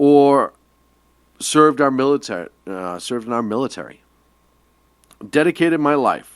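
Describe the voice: With an American accent, a man speaks at a moderate pace and a fairly high pitch. His intonation is lively, broken by long, frequent pauses.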